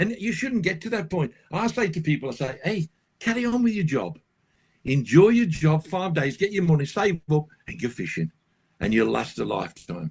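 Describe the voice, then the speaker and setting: At a moderate pace, a high-pitched man talks with very wide pitch swings. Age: 70s. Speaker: carp angler and fishing guide. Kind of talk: casual interview chat. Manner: animated.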